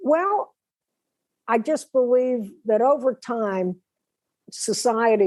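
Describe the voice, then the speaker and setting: Very slowly, a woman with an American accent speaks in a dark, mellow tone. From Pittsburgh, Pennsylvania, US. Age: 60s. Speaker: drummer and singer-songwriter. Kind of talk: interview conversation.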